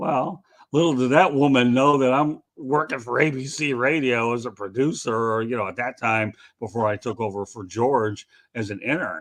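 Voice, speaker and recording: A man has a plain, everyday voice with a medium pitch, ordinary pitch variation and a moderate pace. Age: 60s. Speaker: sports reporter. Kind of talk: interview.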